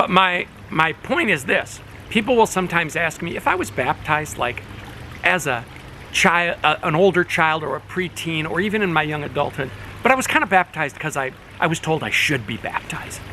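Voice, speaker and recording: A man's high-pitched, lively voice at a fairly quick pace over noticeable background noise. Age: 60s. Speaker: pastor. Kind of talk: informal talk to congregation on video. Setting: outdoors by a fish pond. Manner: casual, conversational.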